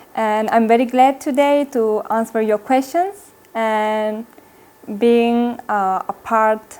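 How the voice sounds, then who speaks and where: With an Italian accent, the speaker talks at a very slow pace with ordinary pitch variation. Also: woman. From Italy. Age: 20s. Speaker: Buddhist nun. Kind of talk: interview. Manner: halting.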